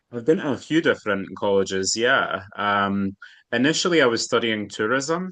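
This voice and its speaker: A man with a medium-pitched voice speaks at a moderate pace in a bright, sharp tone with lively intonation. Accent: Edinburgh. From Scotland, Edinburgh. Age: 30s. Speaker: astrologer and palm reader. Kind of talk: interview.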